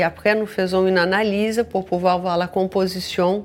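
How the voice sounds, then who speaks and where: Speaking at a moderate pace, a woman with a Brazilian accent has a fairly low pitch. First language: Portuguese (speaking French). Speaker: social enterprise founder. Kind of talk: radio interview. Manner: halting.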